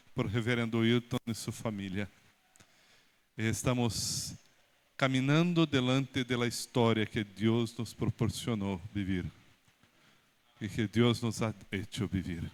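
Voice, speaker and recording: With a Brazilian accent, a man of medium pitch speaks at a very slow pace with ordinary pitch variation and long, frequent pauses. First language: Portuguese (speaking Spanish). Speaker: pastor. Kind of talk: speech at church installation ceremony. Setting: church. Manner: halting.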